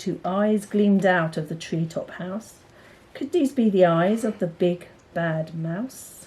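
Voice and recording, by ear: A woman talks slowly at a fairly low pitch. Her tone is slightly mellow. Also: ordinary pitch variation.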